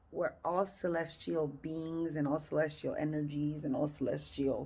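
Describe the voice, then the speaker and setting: A woman with vocal fry speaks at a fairly low pitch and fairly slow pace in an animated tone. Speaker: reiki energy healer. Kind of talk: energy healing session debrief. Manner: animated, hesitant with fillers.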